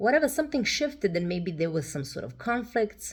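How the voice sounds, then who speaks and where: A somewhat breathy woman speaks with very wide pitch swings. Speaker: tarot reader. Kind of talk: tarot reading monologue. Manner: hesitant, many fillers.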